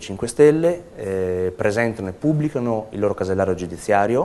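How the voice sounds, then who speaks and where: This man talks at a fairly quick pace and a medium pitch. His pitch variation is ordinary. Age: 30s. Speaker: political candidate. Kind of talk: campaign statement to camera. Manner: hesitant, with filler sounds.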